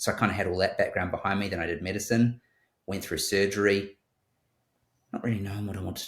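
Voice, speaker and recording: A man with a New Zealand accent speaks in a somewhat breathy, fairly low voice with monotone, flat intonation. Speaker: surgeon. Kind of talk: interview. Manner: halting.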